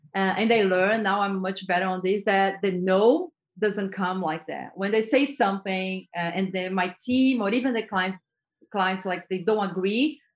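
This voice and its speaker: Over a quiet background, a woman speaks at medium pitch. She talks with a Brazilian accent. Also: ordinary pitch variation, moderate pace. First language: Portuguese. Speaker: advertising creative director. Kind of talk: interview conversation. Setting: video call.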